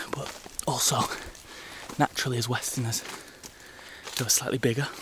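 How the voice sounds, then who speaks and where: Noticeable background noise and a man's fairly quick pace. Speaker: travel vlogger. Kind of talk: travel vlog narration. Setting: outdoors in jungle. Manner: quiet, near whisper; animated.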